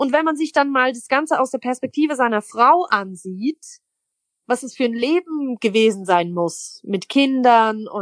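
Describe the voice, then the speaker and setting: A woman's high voice with lively intonation, dry and close with no echo. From Switzerland. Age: 20s. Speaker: poetry slammer and cabaret artist. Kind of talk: interview. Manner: casual.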